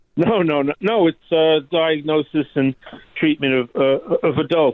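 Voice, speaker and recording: With an American accent, a man speaks at a fairly slow pace and fairly high pitch, his loudness very even and his pitch variation ordinary. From New York City (Staten Island). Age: 60s. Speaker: caller, physician. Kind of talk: call-in conversation. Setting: phone call. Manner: halting.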